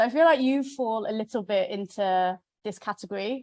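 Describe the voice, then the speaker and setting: This is a woman speaking with a British accent. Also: dry, close sound with no echo. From UK. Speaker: webinar moderator. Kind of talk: moderated webinar conversation.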